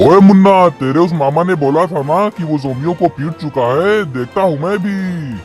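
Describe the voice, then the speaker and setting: A man performs a cartoonish character voice, pitched high, at a moderate pace. Clear music plays in the background. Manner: gloating, teasing.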